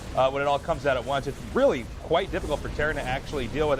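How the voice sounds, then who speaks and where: A strained man's voice at a very fast pace over noticeable background noise. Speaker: esports commentator. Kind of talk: live commentary. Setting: studio, no headsets. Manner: slightly restrained volume.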